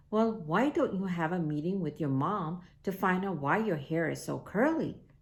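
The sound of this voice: An unforced reading voice. It is read without strain.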